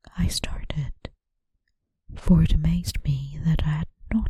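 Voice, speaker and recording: A woman speaks at a very slow pace. She is soft-spoken. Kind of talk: audiobook reading.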